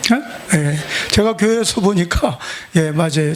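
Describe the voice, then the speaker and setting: Against noticeable background noise, a man with a high pitch and ordinary pitch variation talks in an animated tone at a moderate pace. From South Korea, Chungcheong (Nonsan). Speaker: pastor. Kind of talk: sermon. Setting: church revival service with congregation. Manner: animated, humorous storytelling.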